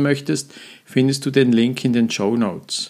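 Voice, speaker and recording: Fairly even intonation runs through a man's unremarkable speaking voice at a medium pitch. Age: 50s. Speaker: mental trainer and coach, podcast host. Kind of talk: solo podcast monologue. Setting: studio with professional microphone. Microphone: professional microphone.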